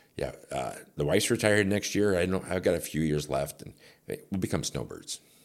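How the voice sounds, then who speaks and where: A man with an Upper Midwest accent talks at a fairly quick pace in a very deep, low voice marked by vocal fry. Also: ordinary pitch variation. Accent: Upper Midwest American. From northern Illinois (Rockford). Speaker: radio personality and promoter. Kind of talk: casual chat. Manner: animated.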